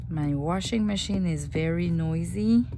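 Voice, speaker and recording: Very slow delivery from a woman amid audible room echo and noticeable background noise. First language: French. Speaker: junk journal crafter. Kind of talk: craft tutorial.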